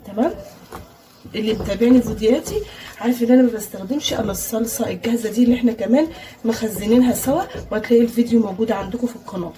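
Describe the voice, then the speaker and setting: Over noticeable background noise, a woman with an Egyptian accent talks fairly quickly at a fairly high pitch. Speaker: cooking channel host. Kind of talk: cooking tutorial. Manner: casual, chatty.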